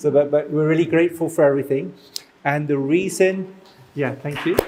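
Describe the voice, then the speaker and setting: Noticeable background noise sits behind a man. He talks at a fairly quick pace with fairly even intonation. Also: fairly high pitch for a man. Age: 40s. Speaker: community event organizer. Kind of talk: announcements.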